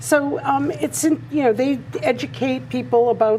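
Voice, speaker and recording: Over noticeable background noise, a woman with a fairly high pitch talks at a moderate pace with very wide pitch swings. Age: 70s. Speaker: artist. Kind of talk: interview.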